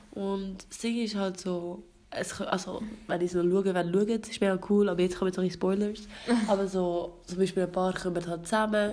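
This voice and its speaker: A woman at medium pitch in a monotone, flat intonation, moderate pace, with noticeable background noise. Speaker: podcast host. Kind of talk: casual chat.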